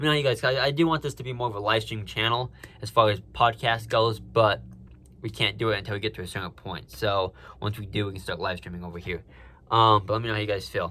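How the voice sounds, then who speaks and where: Very fast and with vocal fry, a man speaks at a fairly low pitch with ordinary pitch variation and big swings in loudness. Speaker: sports podcaster. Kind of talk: casual solo podcast chat.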